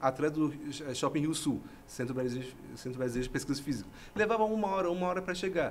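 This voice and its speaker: A man talks with ordinary pitch variation. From Iran. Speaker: university professor. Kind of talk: podcast interview. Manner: halting, with false starts.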